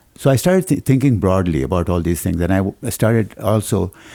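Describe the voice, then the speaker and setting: Very fast speech in a dark, mellow tone. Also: man. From Pakistan (Karachi). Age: 70s. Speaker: retired psychiatrist. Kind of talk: interview. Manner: halting.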